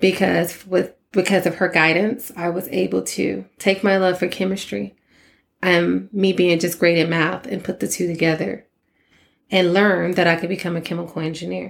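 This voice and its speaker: In an American accent, a woman with a fairly low pitch and vocal fry talks at a moderate pace on a very clean recording with a silent background. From Texas (Port Arthur, Austin). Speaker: chemical engineer and nonprofit founder. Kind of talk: podcast monologue. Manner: animated.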